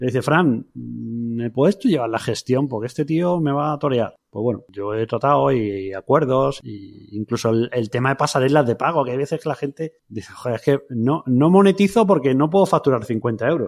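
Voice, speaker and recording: On a very clean recording with a silent background, a man with an unremarkable speaking voice talks at a moderate pace and a medium pitch, with lively intonation and hardly any pauses. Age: 40s. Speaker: podcaster and podcast platform creator. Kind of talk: interview conversation. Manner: casual, informal.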